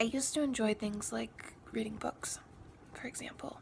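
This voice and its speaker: Someone is whispering at a fairly slow pace over noticeable background noise. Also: woman. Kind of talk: casual talk to camera. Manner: hesitant, rambling.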